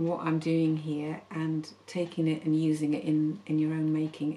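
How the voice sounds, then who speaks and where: A woman is speaking. Light background noise can be heard. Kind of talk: casual vlog chat. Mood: warm, enthusiastic. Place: studio.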